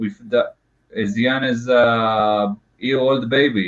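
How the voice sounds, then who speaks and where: A man with a non-native accent speaks at a medium pitch with fairly even intonation. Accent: foreign. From Israel. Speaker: guest from abroad. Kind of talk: casual chat. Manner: halting.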